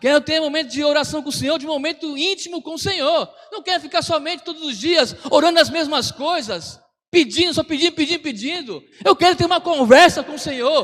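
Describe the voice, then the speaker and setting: With an extremely high pitch and ordinary pitch variation, a man speaks at a fairly quick pace. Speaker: pastor. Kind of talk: sermon.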